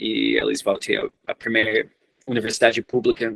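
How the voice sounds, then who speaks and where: Spoken with an English accent, the voice has a dry, close sound with no echo. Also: man. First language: English (speaking Portuguese). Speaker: researcher. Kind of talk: lecture. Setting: seminar. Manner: halting.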